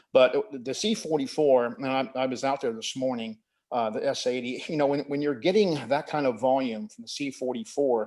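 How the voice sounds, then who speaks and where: With an American accent, a man at medium pitch speaks at a moderate pace with ordinary pitch variation and hardly any pauses. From US South, Miami, Florida. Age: 60s. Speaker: environmental advocate. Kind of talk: public comment at meeting. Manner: halting.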